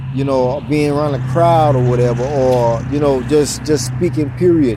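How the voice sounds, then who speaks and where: Amid noticeable background noise and audible room echo, a man speaks at medium pitch and a moderate pace with fairly even intonation. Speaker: motivational vlogger. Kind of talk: casual motivational monologue. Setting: outdoors, walking. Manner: stutters, halting.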